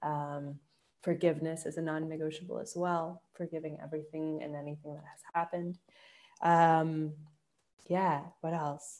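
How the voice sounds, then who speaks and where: A woman with a very deep, low pitch talks at a moderate pace, her loudness swinging widely. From Colombia. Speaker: shamanic healer. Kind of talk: casual interview. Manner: animated.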